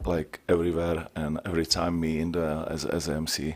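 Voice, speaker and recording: In a very clean recording with a silent background, a man with a Czech accent speaks in a very deep, low pitch. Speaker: MMA promoter and ring announcer. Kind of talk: press conference answers. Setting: press conference. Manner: halting.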